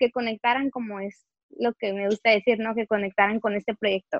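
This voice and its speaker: This woman has a fairly high pitch and a plain, everyday voice. She talks at a moderate pace. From Mexicali, northwestern Mexico. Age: 20s. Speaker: writer and motivational speaker. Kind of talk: casual interview chat. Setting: at home in her bedroom.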